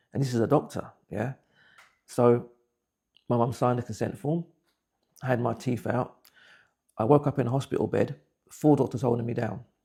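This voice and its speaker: A man with a dark, mellow, somewhat breathy tone and a medium pitch speaks at a moderate pace. He leaves long, frequent pauses, and his intonation stays fairly even. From England (Buckinghamshire), West Indian parents. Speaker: interviewee telling life story. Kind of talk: personal testimony. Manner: halting, repeats words.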